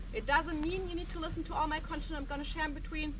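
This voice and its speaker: Talking very fast in a raised, projected voice, a woman with a German accent sweeps through very wide pitch swings amid audible room echo. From Germany. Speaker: tour guide. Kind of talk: guided tour talk.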